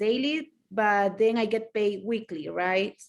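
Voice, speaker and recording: A woman with a Spanish accent talks at a fairly slow pace in a fairly high voice with ordinary pitch variation, recorded very cleanly against a silent background. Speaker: attendee asking questions. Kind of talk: Q&A question. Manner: halting.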